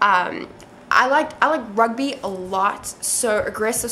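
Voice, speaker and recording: The speaker is a woman. Noticeable background noise and audible room echo fill the recording. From South Africa. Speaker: MMA interviewer and video blogger. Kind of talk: casual self-recorded video interview. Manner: casual, many fillers and restarts.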